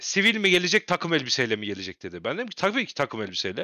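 On a very clean recording with a silent background and a dry, close sound with no echo, a man talks very fast in a bright, sharp tone with vocal fry and very wide pitch swings. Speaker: wrestling podcast host. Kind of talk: casual chat.

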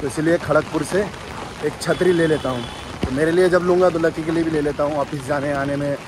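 Over noticeable background noise, a man talks at a fairly quick pace with fairly even intonation, the sound dry and free of echo. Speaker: vlogger. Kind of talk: casual vlog chat. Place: street. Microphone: phone near.

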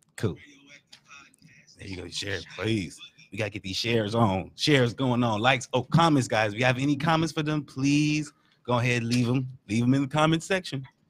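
Here a man is speaking at a moderate pace. His pitch varies in an ordinary way. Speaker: podcast host. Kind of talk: casual podcast hosting. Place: studio. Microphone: studio mic.

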